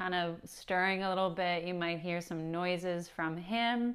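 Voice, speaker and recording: A woman talks at a moderate pace. The background stays quiet. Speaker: yoga instructor. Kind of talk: tutorial. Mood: friendly, a bit nervous, laughing. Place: home room.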